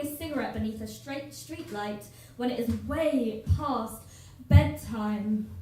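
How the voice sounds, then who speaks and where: Very slow speech over background music. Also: woman. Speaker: poet. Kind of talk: live spoken word poetry performance. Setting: live venue, audience.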